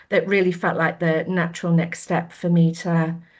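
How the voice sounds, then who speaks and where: With a slight Australian accent, a woman speaks at a moderate pace. Her fairly low pitch stays monotone and flat. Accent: slight Australian twang. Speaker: menopause coach. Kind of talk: podcast interview.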